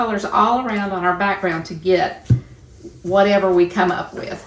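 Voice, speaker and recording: Recorded with audible room echo and noticeable background noise, a woman speaks at a fairly slow pace. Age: 60s. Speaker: painting teacher and podcast co-host. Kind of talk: casual chat; painting tutorial. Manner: relaxed, halting with fillers.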